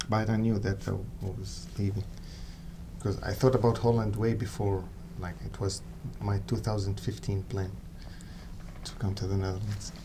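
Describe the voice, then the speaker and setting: A man with an Arabic accent speaks in a fairly low voice with fairly even intonation. Audible echo fills the room. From Syria. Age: 30s. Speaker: music student. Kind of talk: interview.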